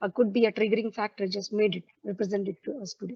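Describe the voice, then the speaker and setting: In a dry, close recording with no echo, a woman speaks at a medium pitch in a dark, mellow tone. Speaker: ayurveda practitioner. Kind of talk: panel discussion. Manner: fast.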